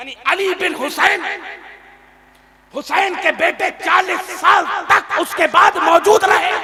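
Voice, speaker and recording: A raised, projected voice carries fairly even intonation but big swings in loudness. Noticeable background noise runs underneath. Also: man, extremely high pitch for a man. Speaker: Islamic preacher / religious orator. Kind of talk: Islamic sermon (bayan / takreer) to a live audience. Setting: live gathering with audience responses. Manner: emotional, forceful oratory.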